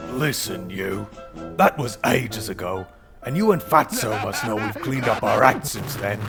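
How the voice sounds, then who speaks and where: Over clear music in the background, a man uses a put-on character voice at medium pitch and a moderate pace. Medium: audio drama.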